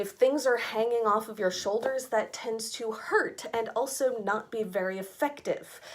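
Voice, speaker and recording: An American accent with ordinary pitch variation and hardly any pauses, over noticeable background noise. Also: woman, fairly high pitch for a woman, moderate pace. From United States. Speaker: fashion subscription box reviewer. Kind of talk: casual rant.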